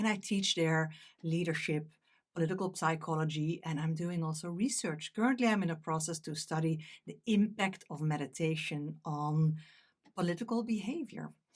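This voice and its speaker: A woman's fairly low voice in a Dutch accent, at a moderate pace with ordinary pitch variation. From Netherlands. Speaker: meditation teacher. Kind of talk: talk.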